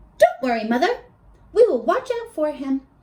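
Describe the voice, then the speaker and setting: A woman performs a put-on character voice, squeaky and extremely high, with very wide pitch swings at a moderate pace. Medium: read story.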